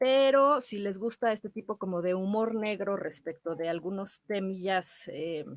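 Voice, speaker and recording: A woman speaks in an ordinary speaking voice at a fairly slow pace and medium pitch, with ordinary pitch variation and a dry, close sound with no echo. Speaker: radio host and actress. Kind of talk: radio show host talk, film recommendations. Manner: warm, friendly.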